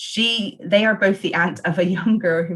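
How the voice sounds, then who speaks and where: A woman's voice sounds somewhat breathy. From England. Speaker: podcast host. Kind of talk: reading prepared notes; casual chat.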